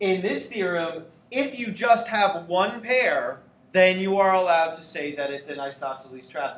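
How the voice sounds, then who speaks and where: Lively intonation from a high-pitched man at a fairly slow pace, with audible room echo and noticeable background noise. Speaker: geometry teacher. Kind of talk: classroom lecture.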